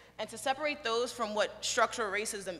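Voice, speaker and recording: A woman speaks loudly in a bright, sharp tone with ordinary pitch variation. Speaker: audience member. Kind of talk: audience question.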